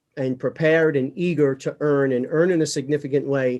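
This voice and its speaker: A man talks in an unremarkable speaking voice with fairly even intonation. His pitch is fairly high, and the background is quiet. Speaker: podcast host, real estate CEO. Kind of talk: podcast interview.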